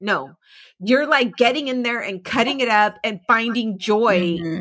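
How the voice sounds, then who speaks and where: Bright and sharp in tone, a woman speaks at a moderate pace with a fairly high pitch and ordinary pitch variation. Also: very clean recording, silent background. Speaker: podcast co-host. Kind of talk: casual chat.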